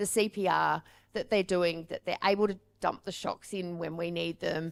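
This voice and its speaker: Her medium-pitched voice carries an Australian accent with fairly even intonation. The woman is recorded very cleanly against a silent background. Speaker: paramedic and firefighter medical trainer. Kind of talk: conference presentation.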